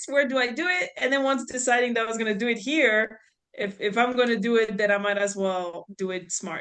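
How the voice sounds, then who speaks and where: A woman with a French accent talks at a fairly quick pace, her fairly high pitch showing ordinary variation. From France, near Swiss border. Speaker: real estate investor. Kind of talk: podcast interview.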